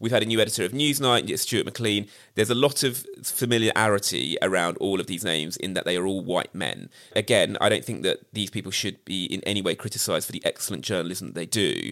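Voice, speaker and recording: A man with a British accent talks very fast in a fairly low voice with a bright, sharp tone. His pitch varies in an ordinary way, and the recording is very clean with a silent background. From Britain. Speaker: TV production company founder. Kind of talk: casual chat.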